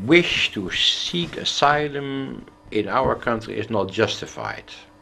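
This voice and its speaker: This man talks at a very slow pace, his pitch medium and his intonation lively. Noticeable background noise sits behind him. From Netherlands, The Hague. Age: 70s. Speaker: former politician, academic. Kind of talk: interview.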